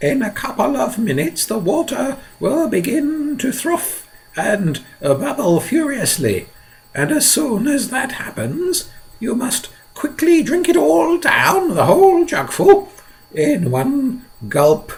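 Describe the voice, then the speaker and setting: Putting on a character voice, a man speaks at a fairly slow pace with an extremely high pitch. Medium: read story. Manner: intense, conspiratorial.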